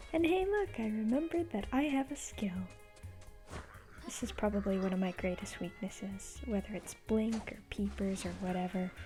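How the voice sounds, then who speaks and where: Music plays in the background. The speaker goes at a moderate pace with long, frequent pauses. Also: man. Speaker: vtuber. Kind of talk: gameplay commentary narration. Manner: hesitant, halting.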